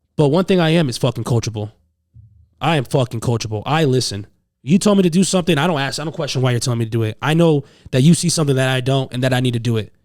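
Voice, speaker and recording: A man with an American accent and medium pitch talks at a very fast pace with ordinary pitch variation. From Massachusetts, US. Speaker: jiu jitsu instructor. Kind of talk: casual chat. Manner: loud; animated.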